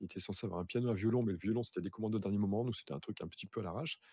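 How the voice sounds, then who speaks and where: A man's voice at a fairly low pitch. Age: 30s. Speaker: streamer and aspiring writer. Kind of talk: casual chat. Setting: video call.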